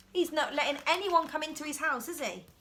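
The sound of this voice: At a fairly quick pace, a woman talks in a high, bright, sharp voice with lively intonation.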